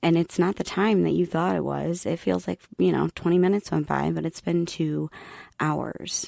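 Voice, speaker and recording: The recording is very clean, with a silent background and a dry, close sound with no echo. A soft-spoken woman talks at a moderate pace. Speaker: podcast host. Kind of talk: solo podcast monologue.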